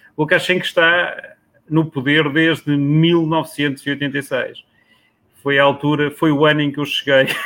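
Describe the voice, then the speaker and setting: Very slowly and at a very even loudness, a man delivers his words in a monotone, flat intonation with a fairly high pitch. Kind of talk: casual chat.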